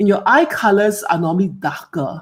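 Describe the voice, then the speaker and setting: A woman with a Singaporean accent, animated in tone, at a fairly slow pace with ordinary pitch variation, on a very clean recording over a silent background. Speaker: hair care expert. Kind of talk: live Q&A presentation. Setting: live stream.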